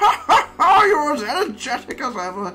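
Someone performs a put-on character voice at a moderate pace. Clear music plays in the background. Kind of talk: reading game dialogue aloud. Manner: energetic, cheerful.

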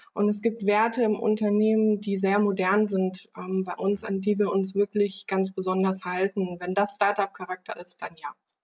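A woman talks at a moderate pace and medium pitch with hardly any pauses. Her intonation is monotone and flat, in a dry, close sound with no echo. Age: 30s. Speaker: company founder and managing director. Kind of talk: interview.

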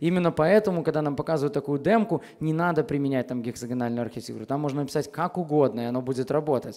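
Over a quiet background, a man talks at a very fast pace with hardly any pauses. His voice has a fairly high pitch and a dark, mellow tone. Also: ordinary pitch variation. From Belarus, Minsk; Belarus. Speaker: software architect, conference speaker; conference speaker. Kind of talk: conference talk. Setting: stage with audience. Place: hall. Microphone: headset.

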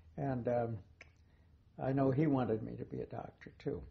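Somewhat breathy and medium in pitch, a man speaks with an American accent and fairly even intonation. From US West Coast (Portland, Oregon). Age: 80s+. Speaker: retired journalist. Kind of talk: oral history interview. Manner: halting, with many fillers and repeats.

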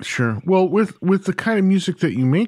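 The background is silent on this very clean recording. A man talks with very wide pitch swings. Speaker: podcast host. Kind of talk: interview.

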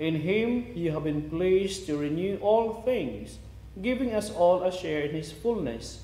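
At a fairly slow pace, a man speaks with a high pitch and lively intonation amid audible room echo. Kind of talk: homily and Mass liturgy, fervent prayer. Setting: church during Mass, live-streamed. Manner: earnest, solemn, reverent in prayer; halting with fillers in homily. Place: church.

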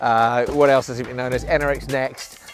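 Faint background music beneath a man's voice, dry and free of echo. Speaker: presenter. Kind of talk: casual presenter chat to camera. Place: stadium.

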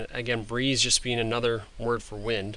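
A man's medium-pitched, bright, sharp voice with an American accent, amid audible room echo. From Michigan, US (Osceola County). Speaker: teacher. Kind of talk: lecture. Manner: halting.

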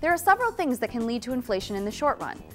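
There is faint music in the background. A woman is speaking. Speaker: presenter. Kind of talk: lecture. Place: studio.

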